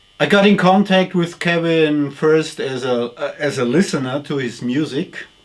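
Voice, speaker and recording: At a moderate pace with hardly any pauses, a man speaks in a fairly high pitch with ordinary pitch variation. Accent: German. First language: German. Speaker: retired culture journalist. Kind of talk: interview. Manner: halting.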